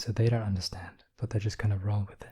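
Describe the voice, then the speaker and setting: Soft-spoken and somewhat breathy, a man speaks at medium pitch with monotone, flat intonation. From England. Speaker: ASMR artist. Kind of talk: ASMR soft-spoken rant.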